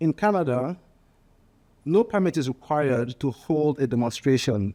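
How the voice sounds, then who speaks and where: In a strong Nigerian accent, a man with a dark, mellow tone and fairly high pitch speaks with lively intonation and long, frequent pauses on a very clean recording with a silent background. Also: dry, close sound with no echo. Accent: heavy Nigerian. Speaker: political candidate. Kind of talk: political speech. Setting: panel discussion with live audience. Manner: halting, with fillers and repetitions.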